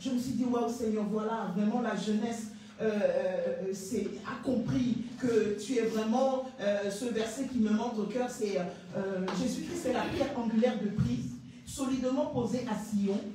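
Strong room echo and light background noise accompany speech at a fairly slow pace. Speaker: evangelist giving testimony. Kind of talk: testimony. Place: church. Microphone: handheld.

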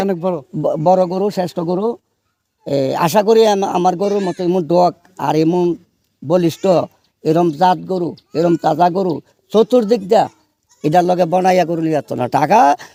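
This man has an eastern Bangladeshi accent and a high pitch, with ordinary pitch variation. His tone is dark and mellow, and the sound is dry and close with no echo. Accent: Brahmanbaria regional Bengali dialect. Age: 70s. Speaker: cattle farmer. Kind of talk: field interview.

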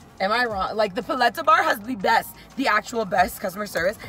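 A woman talks at a fairly quick pace in a dry sound with no echo, with faint music in the background. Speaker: food vlogger. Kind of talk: casual vlog chat. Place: car. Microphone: phone near.

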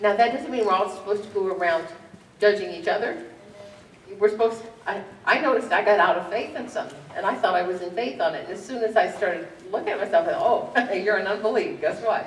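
A woman talks at a very fast pace with audible room echo and light background noise. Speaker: pastor. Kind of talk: sermon. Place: church.

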